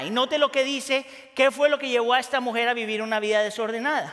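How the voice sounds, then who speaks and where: An extremely high-pitched male voice with a bright, sharp tone. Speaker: pastor. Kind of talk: sermon. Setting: church.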